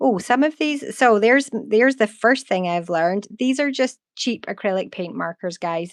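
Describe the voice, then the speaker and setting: In a Scottish accent, a woman speaks at a moderate pace with lively intonation, the sound dry and close with no echo against a quiet background. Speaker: artist. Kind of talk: live art stream. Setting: live stream. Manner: relaxed.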